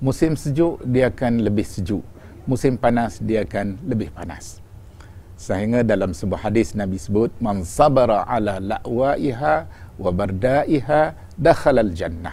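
A man's dark, mellow tone at a fairly slow pace. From Malaysia. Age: 60s. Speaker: religious teacher. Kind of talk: religious lecture. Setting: on pilgrimage in Medina. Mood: calm, warm storytelling. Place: home room. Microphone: lapel.

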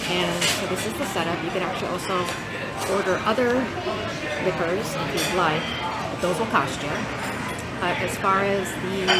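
Loud background noise runs under speech at a moderate pace. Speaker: restaurant reviewer. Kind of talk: casual tour commentary. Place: bar. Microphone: phone near.

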